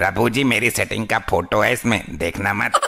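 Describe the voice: Using a cartoonish character voice, a man speaks at a moderate pace in a fairly low pitch. Light background noise is present. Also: ordinary pitch variation.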